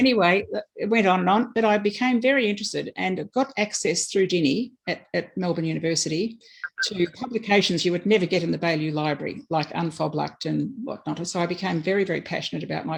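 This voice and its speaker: The delivery is very fast, with lively intonation. The speaker has an Australian accent. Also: woman, fairly low pitch for a woman. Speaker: election candidate. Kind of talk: campaign speech.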